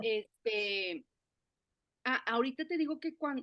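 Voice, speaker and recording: A woman talks at a fairly slow pace with a Mexican accent. Her pitch is high. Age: 50s. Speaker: forest therapy guide. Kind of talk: interview conversation. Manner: halting, many fillers and restarts.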